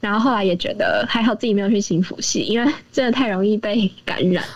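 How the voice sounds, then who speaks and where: Through noticeable background noise, a woman speaks very fast at a fairly high pitch. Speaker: university student volunteer. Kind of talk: casual interview. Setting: remote recording.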